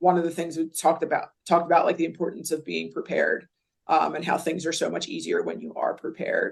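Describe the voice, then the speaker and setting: A woman talks with a Philadelphia accent. Her pace is very fast. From Philadelphia area, US. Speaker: college basketball coach. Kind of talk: podcast interview. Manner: casual, filler-heavy.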